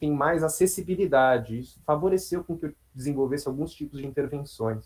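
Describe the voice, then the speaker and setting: Ordinary pitch variation in a fairly high male voice. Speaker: psychologist. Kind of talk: online talk to colleagues. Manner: fast.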